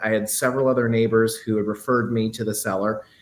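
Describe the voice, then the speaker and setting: At a fairly quick pace, a man with an American accent talks at a medium pitch with fairly even intonation. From US Midwest, Quad Cities (Iowa-Illinois border). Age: 20s. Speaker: real estate agent. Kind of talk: interview. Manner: halting, many fillers and restarts.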